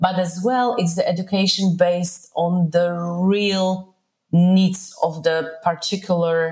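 Very slow, somewhat breathy woman's voice of fairly low pitch, with a Polish accent and fairly even intonation. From Poland. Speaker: entrepreneur. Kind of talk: interview.

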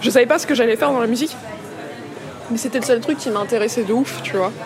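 Noticeable background noise fills the recording as a woman talks. The room adds an audible echo. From Paris area (Vitry-sur-Seine). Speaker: musician and composer. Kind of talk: casual chat over lunch. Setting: restaurant.

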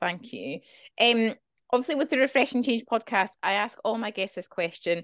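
A woman speaks in a normal speaking voice at a moderate pace with ordinary pitch variation, the sound dry and close with no echo over a quiet background. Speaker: podcast host. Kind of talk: casual interview chat.

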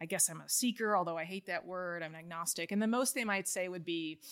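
Spoken fairly quickly with an American accent, a plain, everyday voice shows ordinary pitch variation on a very clean recording with a silent background. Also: woman. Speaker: historian and journalist. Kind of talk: interview about personal faith conversion.

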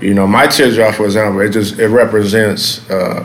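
A man's fairly low voice with an American accent, at a moderate pace, with audible room echo and noticeable background noise. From South Los Angeles. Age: 30s. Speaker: former gang member. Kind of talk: interview. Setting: café. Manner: halting, many fillers.

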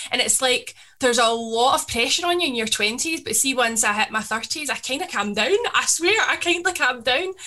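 In a west of Scotland accent, a woman uses a raised, projected voice at a moderate pace with hardly any pauses. Her high pitch swings very widely. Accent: Scottish (west of Scotland). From Scotland, Paisley. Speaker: DJ and social media creator. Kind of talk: casual chat.

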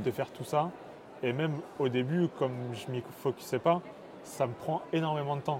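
A man speaks at a moderate pace with fairly even intonation. Background noise is noticeable. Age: 20s. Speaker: engineering student and startup co-founder. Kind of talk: casual interview. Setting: startup incubator.

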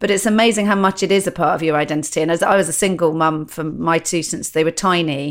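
A woman's fairly low voice at a very fast pace, fairly even in intonation, with hardly any pauses. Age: 50s. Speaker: stand-up comedian. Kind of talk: casual chat.

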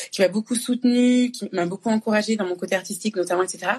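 A woman talks in a somewhat breathy voice at a medium pitch, her pitch varying in an ordinary way. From France (born in Congo, moved at two). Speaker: artist and actress. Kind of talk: casual conversation on a live stream. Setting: Instagram live.

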